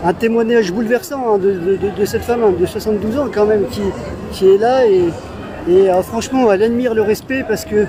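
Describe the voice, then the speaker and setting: Against crowd noise in the background, a man speaks fairly quickly in a high pitch with ordinary pitch variation. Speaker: street reporter. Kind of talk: street interview questions. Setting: outdoors.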